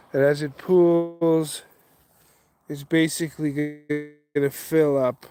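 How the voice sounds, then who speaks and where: Music plays in the background as a man speaks. His pitch is fairly high and his pace very slow. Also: long, frequent pauses. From western Canada (Calgary, Alberta). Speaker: outdoor vlogger. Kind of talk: casual live stream. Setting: outdoors by a creek.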